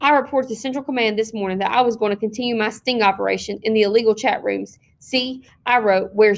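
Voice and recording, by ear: The text is read aloud in a natural voice.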